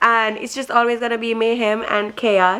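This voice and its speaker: A woman speaks at a moderate pace with a fairly high pitch. Noticeable background noise can be heard. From Jamaica. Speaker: vlogger. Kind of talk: casual vlog talk to camera.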